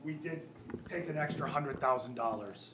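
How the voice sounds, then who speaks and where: With an American accent, a man speaks at a fairly high pitch. Audible room echo and noticeable background noise surround him. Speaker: school district official presenting budget. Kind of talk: public board meeting. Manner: halting; loud.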